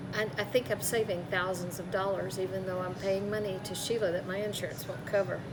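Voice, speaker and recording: Over noticeable background noise and audible room echo, a woman talks at a fairly quick pace with hardly any pauses and fairly even intonation. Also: medium pitch for a woman. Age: 70s. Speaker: client giving testimonial. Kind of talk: testimony.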